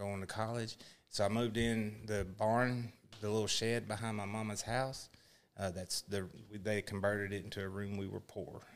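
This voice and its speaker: In a very clean recording with a silent background, a man speaks at a fairly low pitch with monotone, flat intonation. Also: moderate pace. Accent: Texan. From Texas. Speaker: former Marine, social media creator. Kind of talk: casual chat.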